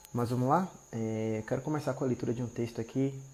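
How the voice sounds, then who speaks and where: Soft-spoken and somewhat breathy, a man talks at a medium pitch in a dark, mellow tone with monotone, flat intonation. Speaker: marriage restoration preacher. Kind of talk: live stream devotional talk. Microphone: quiet audio.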